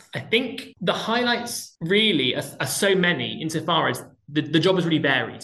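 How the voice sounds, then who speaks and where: A man speaks at a high pitch. His pitch swings very widely. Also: moderate pace. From southwest England, Plymouth. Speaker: theatre director. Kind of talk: interview.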